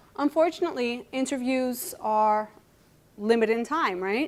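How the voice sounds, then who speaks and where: A woman speaks with a Greek accent. Her intonation is lively. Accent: Greek accent, noticeable. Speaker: computer science lecturer. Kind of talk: conference talk. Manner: animated.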